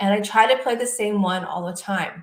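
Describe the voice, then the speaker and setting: Here a woman speaks at a moderate pace and medium pitch. Her voice is somewhat breathy. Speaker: clinical hypnotherapist and meditation guide. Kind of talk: guided sleep meditation / self-hypnosis talk.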